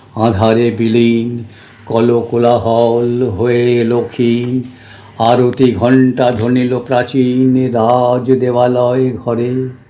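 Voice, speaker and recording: Noticeable background noise sits behind a man speaking at medium pitch with monotone, flat intonation. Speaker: retired mechanical engineer. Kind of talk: poetry reading. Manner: soft-spoken.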